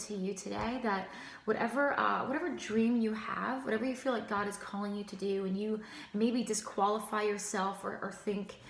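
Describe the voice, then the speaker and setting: Fairly high in pitch, a woman speaks at a fairly quick pace with fairly even intonation. Noticeable background noise and audible room echo are present. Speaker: co-host and worship singer. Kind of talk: vlog encouragement talk. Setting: just after studio taping. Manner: occasional stutter, trips over words; casual, many fillers.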